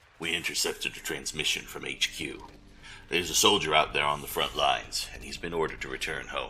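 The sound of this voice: A man puts on a character voice with an extremely low pitch and a bright, sharp tone. He speaks at a moderate pace with fairly even intonation.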